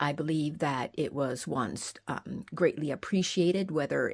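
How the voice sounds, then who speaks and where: A woman speaks with noticeable vocal fry. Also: very clean recording, silent background. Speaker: fossil art video creator. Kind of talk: casual video narration. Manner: halting, many fillers.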